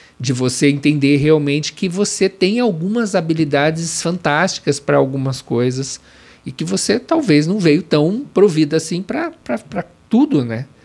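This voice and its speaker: Here is a normal speaking voice at a moderate pace. The intonation is lively. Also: man, fairly high pitch for a man. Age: 50s. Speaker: corporate trainer and consultant. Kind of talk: interview.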